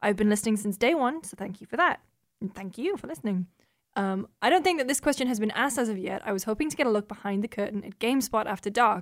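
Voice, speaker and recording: A woman with a northern English accent, fairly high in pitch, very fast, with lively intonation and big swings in loudness, on a very clean recording with a silent background. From northern England. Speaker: games journalist. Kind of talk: casual chat.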